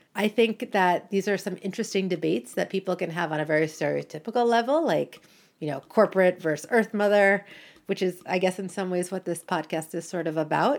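This woman talks at a fairly quick pace with an American accent. She has an ordinary speaking voice, medium in pitch, with ordinary pitch variation. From United States. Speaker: podcast host. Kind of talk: solo podcast monologue.

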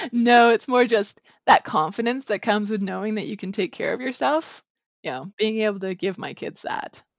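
A woman with a normal speaking voice, fairly high in pitch, at a moderate pace, with a Canadian accent. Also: lively intonation, big swings in loudness. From Southern Alberta, Canada. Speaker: novelist. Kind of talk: interview. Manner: laughs often.

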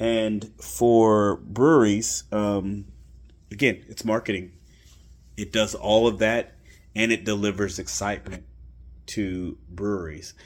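On a very clean recording with a silent background, the speech moves at a very slow pace with long, frequent pauses and ordinary pitch variation. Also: man, fairly low pitch for a man. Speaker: beer podcast host. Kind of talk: casual solo monologue. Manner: conversational with frequent fillers.

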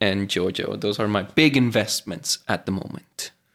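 In a Venezuelan accent, a man speaks with ordinary pitch variation. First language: Spanish. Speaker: mechanical engineer and podcast co-host. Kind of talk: casual chat.

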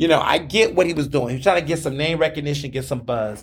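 A man's fairly high, somewhat breathy voice with an animated tone. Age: 30s. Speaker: podcast host. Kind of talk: casual monologue.

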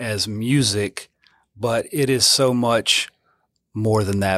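Recorded very cleanly against a silent background, a man with a Louisiana accent speaks at a medium pitch with fairly even intonation, the sound dry and close with no echo. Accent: Southern US (Louisiana). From Louisiana, near Baton Rouge. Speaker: church music minister. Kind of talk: interview.

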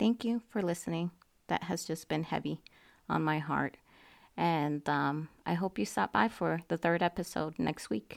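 A woman's very deep, low voice with vocal fry and lively intonation at a fairly slow pace, in a dry, close sound with no echo and a very clean recording with a silent background. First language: not English. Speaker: podcast host. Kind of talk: monologue commentary. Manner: halting, many fillers and repeats.

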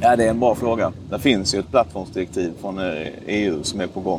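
An unremarkable speaking voice from a man, fairly low in pitch, with ordinary pitch variation. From southern Sweden, Skåne (Ystad). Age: 20s. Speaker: member of parliament. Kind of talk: interview. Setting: outdoors.

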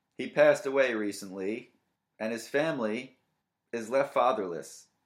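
This man has an unremarkable speaking voice and talks at a fairly slow pace. The recording is very clean, with a silent background. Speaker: comedy radio-style podcast host. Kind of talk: stand-up style comedic monologue riffing on news, crude jokes and dating profile readouts. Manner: mock radio-DJ patter.

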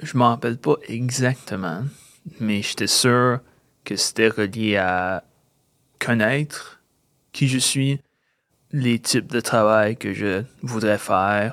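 Very slowly and with long, frequent pauses, a man at medium pitch speaks with a slight English accent and ordinary pitch variation. The sound is dry and close with no echo, very clean, and the background is silent. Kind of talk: casual interview. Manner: halting.

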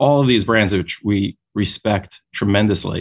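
In a New York accent, a man with a fairly low pitch talks at a moderate pace, the sound dry and close with no echo on a very clean recording with a silent background. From New York City, Brooklyn. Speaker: dentist and company founder. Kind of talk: interview. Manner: halting, with repeated words and fillers.

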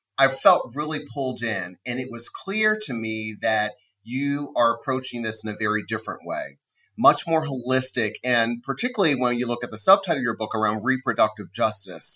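A man speaks at medium pitch with a bright, sharp tone and an American accent. His intonation is lively and his pace moderate. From Maryland. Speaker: podcast host. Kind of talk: interview.

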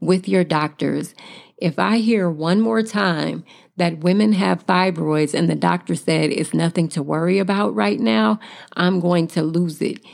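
A woman with a fairly low voice speaks at a fairly slow pace in an animated tone with lively intonation. Her loudness stays very even on a very clean recording with a silent background. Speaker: podcast host, wellness coach. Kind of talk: solo podcast monologue. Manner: animated, emphatic.

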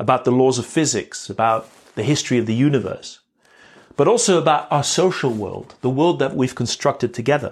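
This is a man with an unremarkable speaking voice at medium pitch and ordinary pitch variation. He speaks at a fairly quick pace in a very clean recording with a silent background. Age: 50s. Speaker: podcast host. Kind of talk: reflective monologue. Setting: outdoors, walking in a park.

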